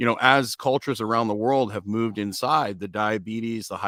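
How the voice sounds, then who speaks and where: On a very clean recording with a silent background, a man speaks at a moderate pace in a fairly low voice with a bright, sharp tone. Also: dry, close sound with no echo. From northern Canada. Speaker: strength coach, interviewer. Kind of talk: interview conversation.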